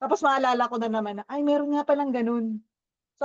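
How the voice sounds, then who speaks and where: This woman talks at a fairly quick pace. Her pitch is high, with ordinary variation. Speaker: team leader at a virtual assistant company. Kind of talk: casual team discussion.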